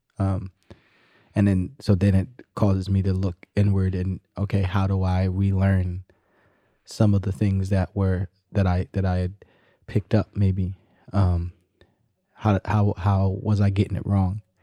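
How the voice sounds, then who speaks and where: With music in the background, a man with a very deep, low pitch speaks at a fairly slow pace in a monotone, flat delivery with long, frequent pauses, the sound dry and close with no echo. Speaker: musician. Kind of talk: casual conversation. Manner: halting, hesitant, repeats words.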